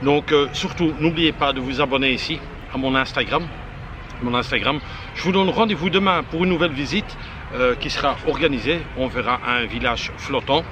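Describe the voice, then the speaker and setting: Noticeable background noise behind a man's fairly high voice, moderate in pace, with ordinary pitch variation. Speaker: travel vlogger. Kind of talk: travel vlog. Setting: monastery among monks, on location. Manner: halting, stammering; soft-spoken.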